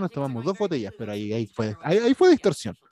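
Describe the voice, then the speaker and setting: The recording catches a man at medium pitch, with a dry, close sound and no echo. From Chile. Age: 30s. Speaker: podcast host. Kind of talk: casual chat.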